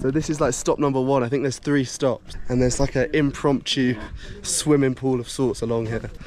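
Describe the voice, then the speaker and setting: Fairly quick pace over noticeable background noise. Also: man, medium pitch for a man. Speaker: travel vlogger. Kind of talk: travel vlog narration. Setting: outdoors in mountains. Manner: casual, animated.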